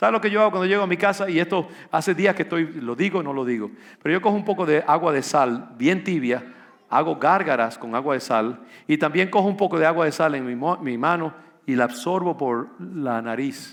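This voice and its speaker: A man with a fairly high pitch talks at a fairly quick pace in an ordinary speaking voice, his intonation lively. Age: 60s. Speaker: pastor. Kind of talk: sermon.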